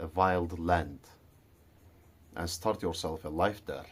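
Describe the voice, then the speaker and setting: A man talks in a very deep, low pitch. He has a non-native accent. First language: not English. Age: adult. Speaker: vlogger. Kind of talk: casual monologue vlog. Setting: garage at night.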